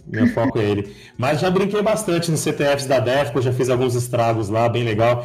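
The speaker keeps a moderate pace and very even loudness. Audible room echo and noticeable background noise fill the recording. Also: man, medium pitch for a man, lively intonation. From São Paulo, Brazil (also six years in Bahia). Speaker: security researcher. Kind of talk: casual interview.

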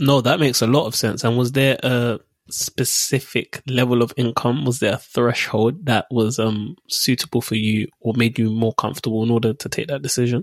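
A man with a normal speaking voice talks at a medium pitch and a moderate pace, with hardly any pauses. His intonation is fairly even, and the sound is dry and close with no echo. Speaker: podcast host. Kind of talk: interview.

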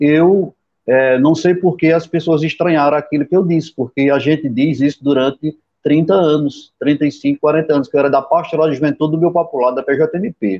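A man talks at a moderate pace with fairly even intonation and a fairly high pitch, in an unremarkable speaking voice. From Sertão of Pernambuco, Brazilian Northeast. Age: 50s. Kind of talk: interview conversation.

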